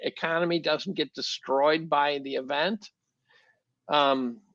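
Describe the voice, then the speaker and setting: The sound is dry and close, with no echo. Delivery is fairly slow with ordinary pitch variation. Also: man. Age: 60s. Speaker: chemistry professor and market commentator. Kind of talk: podcast interview. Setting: podcast. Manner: halting, many repeated words.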